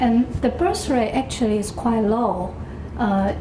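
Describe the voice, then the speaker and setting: Speaking at a fairly slow pace with a Taiwanese accent, a woman with a fairly high pitch and ordinary pitch variation is heard over noticeable background noise and audible room echo. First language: Mandarin or Taiwanese. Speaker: public health official. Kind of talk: lecture. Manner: halting, many fillers and repetitions.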